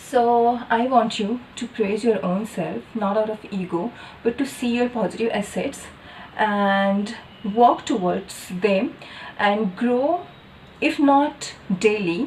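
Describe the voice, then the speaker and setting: Speech unfolds at a very slow pace with ordinary pitch variation. Noticeable background noise runs underneath. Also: woman, fairly high pitch for a woman. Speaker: doctor and vlogger. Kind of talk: casual vlog monologue. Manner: hesitant, with fillers.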